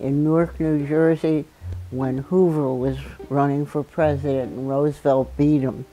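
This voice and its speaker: A woman speaks at a fairly slow pace in a very deep, low voice. Her intonation is fairly even, with music in the background. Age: 80s+. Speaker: activist and scientist. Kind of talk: oral history interview.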